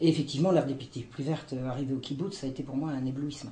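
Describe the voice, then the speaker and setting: A woman at a very fast pace with fairly even intonation, in audible room echo. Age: 60s. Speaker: historian. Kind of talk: testimony. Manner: halting, many hesitations.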